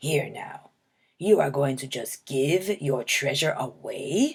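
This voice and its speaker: Growling in a put-on character voice, a woman speaks fairly slowly with a very deep, low pitch. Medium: read story. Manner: loud, growling pirate talk.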